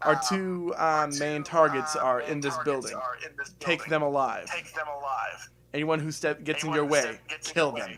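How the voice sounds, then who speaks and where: A man puts on a loud, booming character voice at a fairly high pitch. He keeps a moderate pace, broken by long, frequent pauses. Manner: commanding, menacing.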